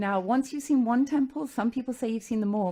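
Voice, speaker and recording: A woman with a British accent, somewhat breathy, in a dark, mellow tone. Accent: British (noticeable). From London, England. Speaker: furniture company founder, former attorney. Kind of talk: radio interview.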